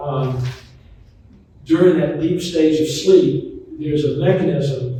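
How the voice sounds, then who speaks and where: Fairly slow speech in an American accent with fairly even intonation, plus audible room echo and noticeable background noise. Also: man. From US South, Charlotte, North Carolina. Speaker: physician and author. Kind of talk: talk to retirement community audience. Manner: conversational, informal.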